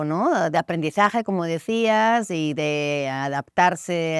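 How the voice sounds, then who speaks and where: A woman's plain, everyday voice at a fairly low pitch, with lively intonation, on a very clean recording with a silent background and a dry, close sound with no echo. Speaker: podcast host. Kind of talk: interview question.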